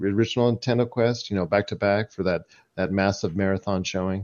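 Over a quiet background, a man with a fairly low pitch speaks in a plain, everyday voice with ordinary pitch variation. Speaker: podcast host. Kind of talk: casual chat.

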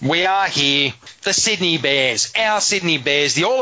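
A man speaks with a fairly high pitch and an Australian accent. His intonation is lively, over noticeable background noise. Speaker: community radio sports show host. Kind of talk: radio sports talk show. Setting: studio.

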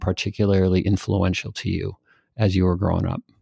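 This very clean recording, with a silent background and a dry, close sound free of echo, carries a dark, mellow tone moving at a fairly quick pace. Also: man. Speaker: podcast host. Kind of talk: interview. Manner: halting, many fillers.

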